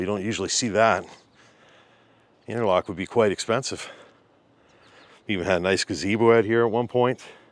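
In a dry sound with no echo, a man rattles along at a very fast pace with fairly even intonation. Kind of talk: casual vlog commentary. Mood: curious, impressed. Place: garden. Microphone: phone near.

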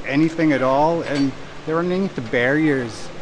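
Noticeable background noise sits under the recording. A man speaks with fairly even intonation. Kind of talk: interview answer. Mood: earnest, reflective. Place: hall. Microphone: lapel.

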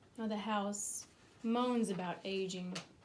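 Over noticeable background noise, a woman with a medium pitch speaks very slowly in a dramatic, solemn tone with fairly even intonation. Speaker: poet. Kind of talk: poetry reading, spoken-word poem addressed to a dead author. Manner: reflective, wry, intimate and conversational, rising to a solemn toast at the end; deliberate, expressive, with sardonic asides and dramatic pauses.

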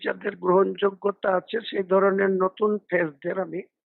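This man talks with a high-pitched voice. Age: 60s. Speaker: politician. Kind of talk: interview statement.

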